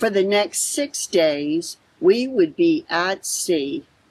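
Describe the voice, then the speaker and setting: A plain, everyday voice, a woman at medium pitch with an American accent and lively intonation. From Florida. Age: 60s. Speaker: travel vlogger. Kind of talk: vlog narration.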